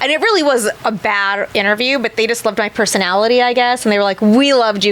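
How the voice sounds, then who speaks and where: A woman with a fairly high voice and an animated tone, at a very fast pace, over noticeable background noise. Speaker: tattoo artist and convention host. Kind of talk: casual chat. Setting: studio.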